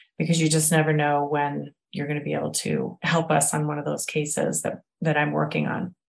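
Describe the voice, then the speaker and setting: Barely pausing at all, a woman talks at a fairly quick pace. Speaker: genetic genealogist. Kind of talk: interview answers.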